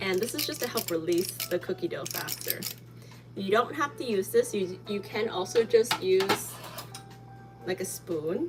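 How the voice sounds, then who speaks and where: Music plays in the background as a woman speaks at a fairly slow pace. She leaves long, frequent pauses. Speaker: baking channel host. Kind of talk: live baking tutorial. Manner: casual, filler-heavy.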